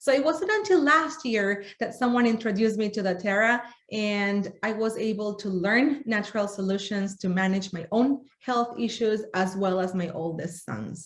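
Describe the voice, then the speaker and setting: A woman with a Spanish accent speaks at a fairly high pitch and a moderate pace. Her pitch varies in an ordinary way, with hardly any pauses. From Argentina. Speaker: essential oils workshop presenter. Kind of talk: workshop presentation.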